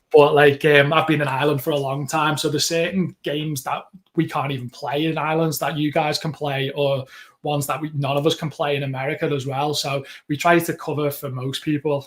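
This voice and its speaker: With a Liverpool accent, a man talks at a fairly quick pace in a fairly high pitch, somewhat breathy and monotone with flat intonation, on a very clean recording with a silent background. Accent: Liverpool (Scouse). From Liverpool, England. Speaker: podcast co-host. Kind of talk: casual chat.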